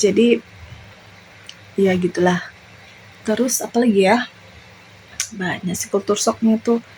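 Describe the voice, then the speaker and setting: Long, frequent pauses break up this woman's speech. Her pace is fairly slow and her intonation fairly even. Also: fairly high pitch for a woman. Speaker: vlogger. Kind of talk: casual vlog talk. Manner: hesitant, many fillers.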